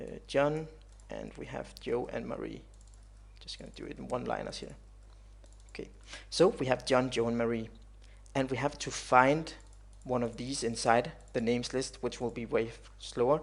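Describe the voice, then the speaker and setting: His loudness jumps up and down a great deal. The man keeps a moderate pace, broken by long, frequent pauses. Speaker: programming tutorial creator. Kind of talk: tutorial. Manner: halting, many fillers.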